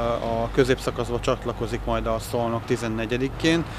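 Noticeable background noise runs through the clip. The sound is dry, with no echo. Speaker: club official. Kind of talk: interview statements. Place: street. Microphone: handheld.

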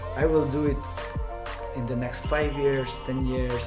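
A man is talking while clear music plays behind him. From Hungary. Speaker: interview guest. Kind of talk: interview answer. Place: home room. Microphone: studio mic.

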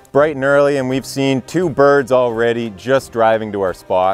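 There is faint music in the background as a man talks at a moderate pace. The sound is dry with no echo. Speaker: hunter vlogger. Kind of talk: casual vlog chat. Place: forest. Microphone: lapel.

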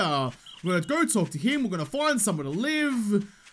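The speaker has an Australian accent and talks at a fairly quick pace. The pitch swings very widely. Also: man. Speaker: gaming YouTuber. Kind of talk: casual, slangy, joking. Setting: gaming commentary over gameplay. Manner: fast talker; slightly higher pitch and faster than usual today, anxious. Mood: wry, joking. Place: home room.

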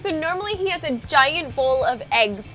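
Faint music plays in the background as a woman speaks in a high pitch. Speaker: food travel host. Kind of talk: casual vlog chat and interview questions. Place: cafe.

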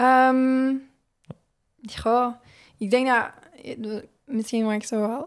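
With a Flemish accent, a woman talks in a fairly high pitch and a flat, monotone intonation. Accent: Flemish Dutch. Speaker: Olympic hurdler. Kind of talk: casual interview. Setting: studio.

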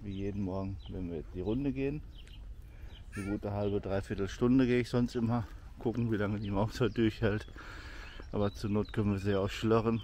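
A man with a normal speaking voice, fairly low in pitch, with ordinary pitch variation and a fairly quick pace, in a dry sound with no echo over light background noise. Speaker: vlogger. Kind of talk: casual vlog chat. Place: open country. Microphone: phone near.

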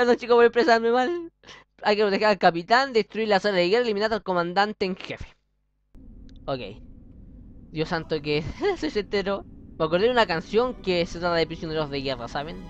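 Over light background noise with a dry sound and no echo, a man talks at a fairly quick pace but leaves long, frequent pauses. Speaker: gaming youtuber; gamer. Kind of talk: let's play gameplay commentary; casual gameplay commentary. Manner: fast; stumbles over words. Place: home room. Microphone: webcam.

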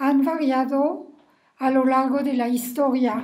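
Against a quiet background, a woman with a high pitch and a dark, mellow tone speaks at a very slow pace. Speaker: family history storyteller. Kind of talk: personal recollection monologue. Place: home room. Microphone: webcam.

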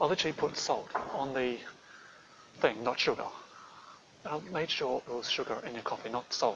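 Noticeable background noise surrounds a man whose pitch varies in an ordinary way. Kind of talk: staged one-sided phone call. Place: hall.

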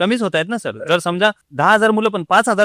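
A man's voice, dry and close with no echo, on a very clean recording with a silent background. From Jalgaon district, Maharashtra, India. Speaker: government officer, former rickshaw driver. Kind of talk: interview.

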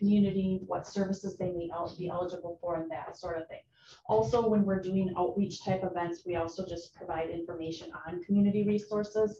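A woman speaks at a fairly quick pace with fairly even intonation. Audible room echo and light background noise are present. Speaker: presenter. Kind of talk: presentation to committee. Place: meeting room.

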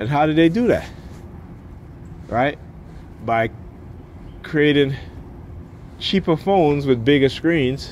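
At a fairly slow pace, a man speaks with ordinary pitch variation, the sound dry with no echo and light background noise. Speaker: parent vlogger. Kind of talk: casual vlog rant. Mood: frustrated, ranting. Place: street. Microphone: phone near.

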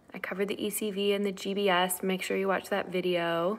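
Speaking at a fairly slow pace, a woman uses a medium pitch. Her intonation is fairly even. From Cuban-American family. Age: 30s. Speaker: OB-GYN doctor. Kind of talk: live Q&A. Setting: at home, sitting on living room floor. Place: home room. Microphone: webcam.

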